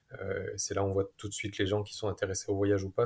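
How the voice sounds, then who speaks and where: A man races at a very fast pace on a very clean recording with a silent background. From southern France. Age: 40s. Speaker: family traveller. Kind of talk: casual interview. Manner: hesitant, many fillers.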